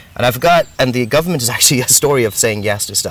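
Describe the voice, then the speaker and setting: Over noticeable background noise, a man with an American accent talks at a very fast pace with lively intonation. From grew up in ten countries, Indian diplomat family. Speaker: entrepreneur and business adviser. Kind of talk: interview.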